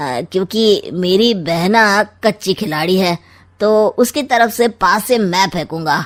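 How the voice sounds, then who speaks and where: Using a cartoonish character voice, a woman speaks at a very slow pace and medium pitch with lively intonation. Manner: sly, smug, teasing.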